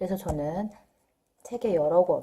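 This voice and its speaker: A woman with a normal speaking voice talks at a moderate pace. Her pitch is fairly low and her intonation lively. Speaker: parenting vlogger. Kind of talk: casual talk to camera. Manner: conversational with fillers.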